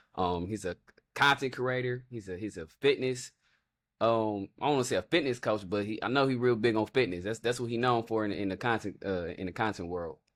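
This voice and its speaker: In a very clean recording with a silent background, a man with an ordinary speaking voice talks at a fairly quick pace, medium pitch and ordinary pitch variation. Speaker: podcast host. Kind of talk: casual interview talk.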